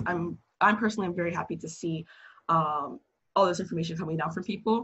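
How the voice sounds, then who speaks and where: A woman talks at a fairly quick pace with lively intonation. Her tone is bright and sharp against a quiet background. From United States. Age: 20s. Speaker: friend of the host. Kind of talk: casual discussion. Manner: articulate.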